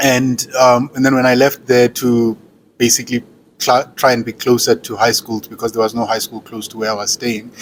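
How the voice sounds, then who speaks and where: A man's medium-pitched voice at a moderate pace, flat and monotone in intonation, with big swings in loudness. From South Africa, Eastern Cape (Butterworth area). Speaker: university lecturer in accounting. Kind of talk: interview. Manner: hesitant, many fillers.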